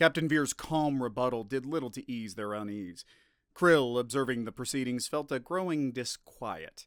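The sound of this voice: This is an unforced reading voice. It reads the text through.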